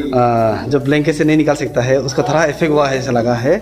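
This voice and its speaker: There is noticeable background noise behind a man's voice. He speaks at a moderate pace with ordinary pitch variation. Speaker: police officer fitness vlogger. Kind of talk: casual vlog chat. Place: gym. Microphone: phone near.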